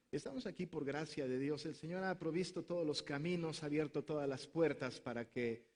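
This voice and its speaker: Speaking in a Mexican accent, a man uses a fairly high pitch at a moderate pace. His intonation is fairly even. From Mexico. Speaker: pastor. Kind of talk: conference talk.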